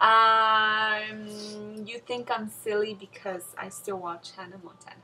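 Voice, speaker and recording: Over music in the background, a woman with a Spanish accent speaks very slowly in a fairly high, monotone, flat voice with big swings in loudness. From Mexico, moved to US at eight. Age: 20s. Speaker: bride-to-be. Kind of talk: casual interview.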